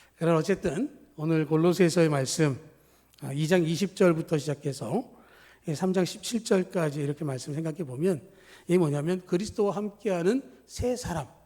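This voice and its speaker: A man's high-pitched voice, dark and mellow in tone, with ordinary pitch variation at a moderate pace. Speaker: pastor. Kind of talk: sermon.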